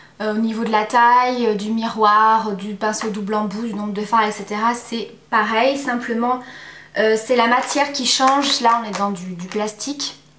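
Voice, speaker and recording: With noticeable background noise and audible room echo, the speech moves at a fairly slow pace with fairly even intonation. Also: woman, fairly high pitch for a woman. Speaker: beauty vlogger. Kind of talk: product review. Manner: hesitant, many fillers.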